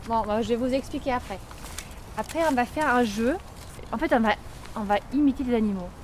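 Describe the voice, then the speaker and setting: A woman talks at a fairly quick pace and a high pitch, with long, frequent pauses. Background noise is noticeable. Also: ordinary pitch variation. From Germany. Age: 30s. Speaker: primary school teacher. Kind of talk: interview testimony. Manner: halting.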